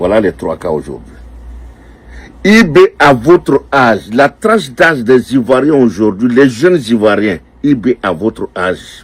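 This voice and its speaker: The voice has vocal fry and very wide pitch swings. The sound is dry and close, with no echo. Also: man, medium pitch for a man, fairly slow pace. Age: 60s. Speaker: political commentator. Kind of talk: political address to youth. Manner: animated.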